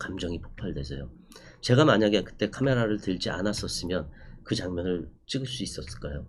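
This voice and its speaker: In a room with audible echo, a man speaks with a very deep, low pitch and lively intonation. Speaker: documentary cinematographer and lecturer. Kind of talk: online lecture. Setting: recorded online class. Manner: fast; hesitant fillers.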